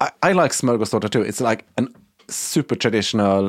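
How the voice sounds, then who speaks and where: A man speaks at a fairly quick pace with a Swedish accent. The sound is dry and close, with no echo. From Sweden. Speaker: interior and set designer. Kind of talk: casual chat.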